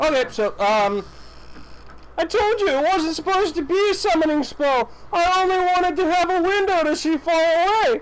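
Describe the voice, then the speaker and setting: A man does a put-on character voice at an extremely high pitch and a moderate pace, with clear background noise. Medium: game stream.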